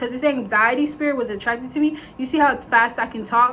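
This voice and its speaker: Fairly quick in pace, a woman talks with a fairly high pitch. Her intonation is fairly even. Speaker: faith vlogger. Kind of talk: casual vlog monologue. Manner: fast; rambling, filler-heavy.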